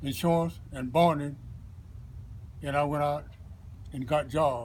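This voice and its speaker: Somewhat breathy and fairly high-pitched, a man with a Southern US accent speaks at a fairly slow pace with ordinary pitch variation. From US South, Florida (Brooksville). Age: 80s+. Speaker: retired construction worker. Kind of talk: oral history interview.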